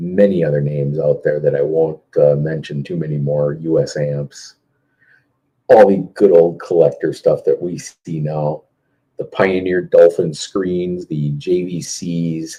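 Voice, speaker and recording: At a fairly slow pace, a man talks in an Upper Midwest accent. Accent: Upper Midwest American. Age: 50s. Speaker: car audio competitor and live stream host. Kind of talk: casual live stream chat answering viewer comments. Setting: Facebook live video stream.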